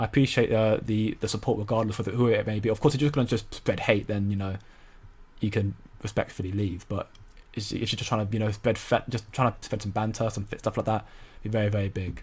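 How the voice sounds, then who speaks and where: The speaker talks at a very fast pace with an American accent and a somewhat breathy quality. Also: man, fairly low pitch for a man. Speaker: crypto streamer. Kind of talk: live stream commentary. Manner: animated.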